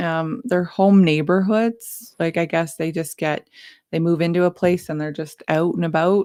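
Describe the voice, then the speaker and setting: This woman's voice is fairly low in pitch, with a dark, mellow tone. Her intonation stays fairly even, and the recording is very clean with a silent background. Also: moderate pace. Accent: slight Canadian. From Alberta, Canada. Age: 30s. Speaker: morning show co-host. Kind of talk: casual chat.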